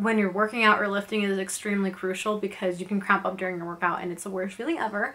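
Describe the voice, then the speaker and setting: Very fast delivery with fairly even intonation. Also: woman, hardly any pauses. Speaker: vlogger. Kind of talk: casual vlog chat. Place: home room.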